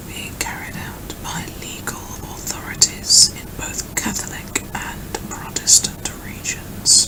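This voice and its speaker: Very slowly, a woman whispers. Behind her there is noticeable background noise. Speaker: ASMR creator. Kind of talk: ASMR reading of an encyclopedia article. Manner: whispered, soft-spoken.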